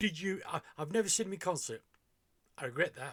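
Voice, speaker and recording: A man with a British accent, a bright, sharp tone, and vocal fry. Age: 60s. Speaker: music reaction youtuber. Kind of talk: casual reaction commentary. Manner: hesitant, many fillers.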